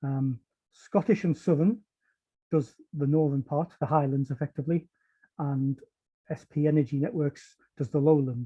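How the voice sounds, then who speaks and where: With a northeast England accent, a man speaks at a fairly high pitch and moderate pace, somewhat breathy with a dark, mellow tone, ordinary pitch variation and a dry, close sound with no echo. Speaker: power system protection engineer. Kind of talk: technical webinar talk. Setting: online webinar. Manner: hesitant, many fillers.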